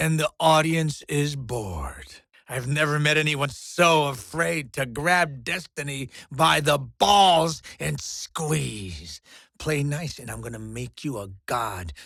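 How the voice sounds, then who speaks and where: A man does a raspy, put-on character voice at a fairly high pitch and a fairly slow pace. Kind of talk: video game character dialogue. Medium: video game.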